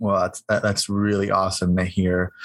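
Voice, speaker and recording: A man at a moderate pace. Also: very clean recording, silent background. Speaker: university social media specialist and podcast co-host. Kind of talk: casual interview.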